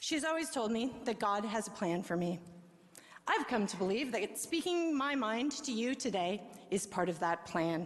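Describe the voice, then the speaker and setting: A woman speaks at a fairly high pitch with very wide pitch swings. Audible room echo and noticeable background noise fill the recording. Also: moderate pace. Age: 40s. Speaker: resident speaking at city council. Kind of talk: public comment speech. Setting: city council meeting.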